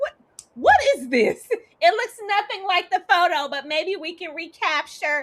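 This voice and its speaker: Doing a put-on character voice, a woman speaks at a moderate pace with an extremely high pitch and a shrill, whiny tone. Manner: annoying, whiny.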